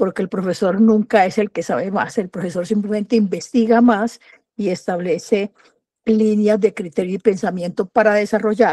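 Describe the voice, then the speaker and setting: A woman with a dark, mellow tone talks at a fairly slow pace with fairly even intonation. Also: dry, close sound with no echo. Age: 70s. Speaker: university professor, audience participant. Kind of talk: audience question.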